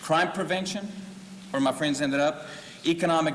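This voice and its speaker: Through noticeable background noise, a man with a Spanish accent talks fairly quickly at a fairly high pitch with ordinary pitch variation. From Mexico until 13, then Fort Worth, Texas. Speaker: political candidate. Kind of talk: campaign speech at candidates forum.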